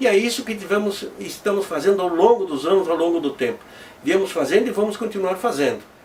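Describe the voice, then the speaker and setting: There is noticeable background noise. A man speaks fairly quickly in a high voice. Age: 60s. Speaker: amateur weather forecaster. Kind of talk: interview testimony. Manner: halting, with repetitions.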